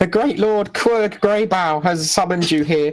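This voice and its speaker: In a put-on character voice, a man talks at a moderate pace, squeaky and high in pitch. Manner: little, petty.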